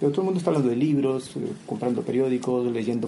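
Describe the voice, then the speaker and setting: Audible room echo surrounds a man's voice. He speaks at a medium pitch with lively intonation. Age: 40s. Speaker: historian and poet. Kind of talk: interview.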